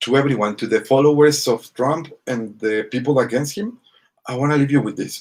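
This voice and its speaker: In a Spanish accent, the speaker talks at a moderate pace with ordinary pitch variation. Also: man. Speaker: vlogger. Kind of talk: casual monologue to camera. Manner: halting, many fillers.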